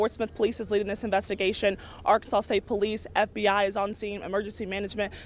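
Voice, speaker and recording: A woman talks at a fairly quick pace in a monotone, flat delivery. The sound is dry with no echo. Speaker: field news reporter. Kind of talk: live news report. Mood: urgent, serious. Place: street. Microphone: handheld.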